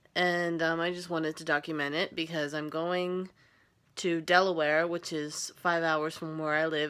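Talking at a fairly slow pace, a woman with a very deep, low pitch keeps fairly even intonation. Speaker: first-time vlogger. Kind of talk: casual vlog chat. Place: home room. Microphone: phone near.

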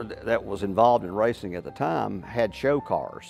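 Faint music plays behind a man who speaks fairly slowly at a fairly low pitch with ordinary pitch variation. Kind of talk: interview answer. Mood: amused, enthusiastic. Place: garage. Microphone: lapel.

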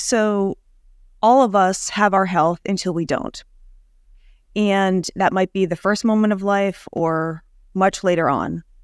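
At a fairly slow pace, a plain, everyday voice with an American accent and ordinary pitch variation comes through in a very clean recording with a silent background. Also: woman, medium pitch for a woman. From Rhode Island, US. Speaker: company founder and CEO. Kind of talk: interview.

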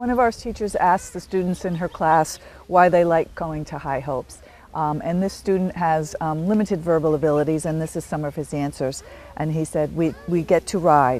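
A woman with a very deep, low pitch and ordinary pitch variation talks at a moderate pace, her sound dry with no echo and light background noise. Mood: warm, amused. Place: shop. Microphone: lapel.

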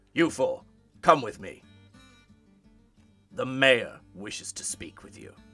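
A man speaks in a put-on character voice at medium pitch and a fairly slow pace, with long, frequent pauses and faint music in the background. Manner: curt, stern.

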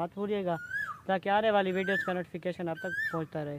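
There is noticeable background noise. A man with a high pitch talks at a fairly quick pace. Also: dry sound with no echo. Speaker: farm vlogger. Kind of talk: casual vlog chat. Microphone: phone near.

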